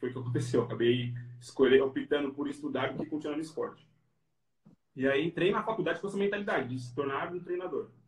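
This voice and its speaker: A man talks at a very fast pace, his voice somewhat breathy, with ordinary pitch variation. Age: 30s. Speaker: physical education professional. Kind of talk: interview. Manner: casual.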